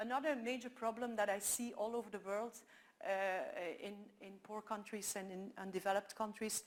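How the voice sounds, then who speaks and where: This woman has a Dutch accent and a fairly high pitch. Her intonation is monotone and flat. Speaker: photographer and documentary maker. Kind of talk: conference talk. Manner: halting, many fillers.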